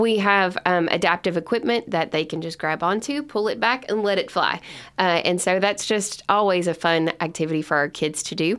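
A woman with a Kentucky accent, medium pitch and moderate pace, on a very clean recording with a silent background. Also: ordinary pitch variation. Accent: Kentucky Southern US. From Kentucky (Lebanon). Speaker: summer camp executive director. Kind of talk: podcast interview. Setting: studio.

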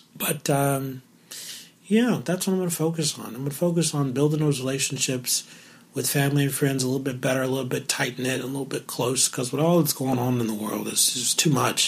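A man's fairly high-pitched voice at a fairly quick pace, with ordinary pitch variation and noticeable background noise. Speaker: podcast host. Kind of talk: solo podcast monologue. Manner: casual, conversational.

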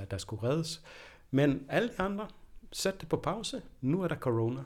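A somewhat breathy male voice at a moderate pace on a very clean recording with a silent background. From Denmark. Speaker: professor of anthropology. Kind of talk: interview. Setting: university office. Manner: hesitant, many fillers and repetitions.

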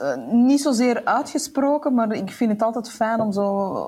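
Her delivery comes at a very slow pace. The woman's intonation is lively and her voice somewhat breathy. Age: 40s. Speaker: entrepreneur and author. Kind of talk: casual interview.

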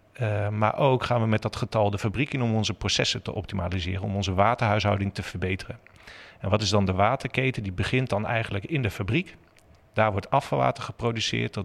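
At a fairly quick pace, a man speaks in an ordinary speaking voice, fairly low in pitch with ordinary pitch variation. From Netherlands, Zutphen (Gelderland). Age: 40s. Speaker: water technology company employee. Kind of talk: interview.

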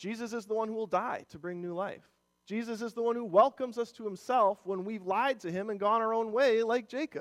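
A man with a high pitch and an American accent, fairly quick pace and fairly even intonation. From Minnesota, Rochester. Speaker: worship leader and church elder. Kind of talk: sermon. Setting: church. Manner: casual, halting with fillers.

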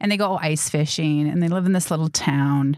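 In an American accent, a woman with an unremarkable speaking voice talks at a moderate pace with ordinary pitch variation on a very clean recording with a silent background. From Wisconsin, Milwaukee suburbs. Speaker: filmmaker and actor. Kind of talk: interview. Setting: studio.

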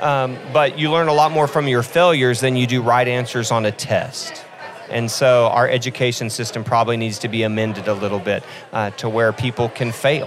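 Against noticeable background noise, a man at a medium pitch speaks at a fairly quick pace. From Oklahoma (Hooker, panhandle). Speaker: coffee shop founder, nonprofit entrepreneur. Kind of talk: podcast interview. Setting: live event at coffee festival. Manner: animated.

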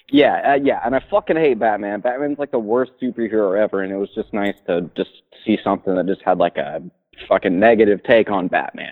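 A man with an American accent talks at a fairly quick pace in an ordinary speaking voice. His pitch is fairly low, with ordinary pitch variation. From Florida Panhandle. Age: 20s. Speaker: caller. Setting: phone call.

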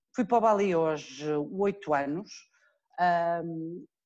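A woman speaks in a European Portuguese accent. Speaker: lawyer and TV legal commentator. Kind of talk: interview.

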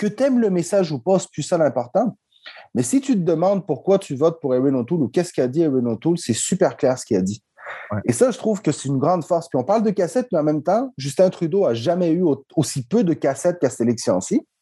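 The sound is dry and close with no echo as a man rushes at a very fast pace, his high pitch making very wide swings. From Quebec, Montreal-Nord (Chilean family). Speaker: public relations consultant. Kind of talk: casual interview.

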